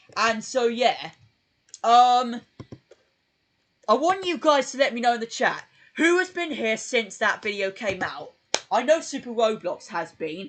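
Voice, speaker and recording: Fairly slow speech in a British accent, broken by long, frequent pauses. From UK. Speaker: YouTuber streaming live. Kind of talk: casual live stream chat. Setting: live stream. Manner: hesitant, many fillers.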